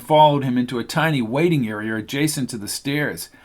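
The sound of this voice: The reading voice sounds unforced. Pitch shifts ordinarily throughout.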